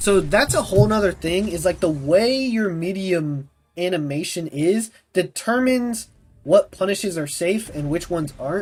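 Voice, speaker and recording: A man with a high-pitched voice uses lively intonation while music plays in the background. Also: moderate pace. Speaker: video game streamer. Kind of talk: live gameplay stream chat. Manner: casual, chatty.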